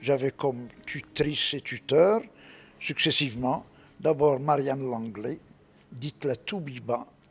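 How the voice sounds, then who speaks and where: A man speaks at a medium pitch with ordinary pitch variation, on a very clean recording with a silent background. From Morocco, Rabat. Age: 70s. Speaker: retired civil servant. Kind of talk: interview.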